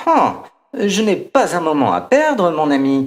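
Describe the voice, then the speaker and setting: Using a put-on character voice, a man speaks at a fairly slow pace in a high pitch. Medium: read story. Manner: haughty, impatient.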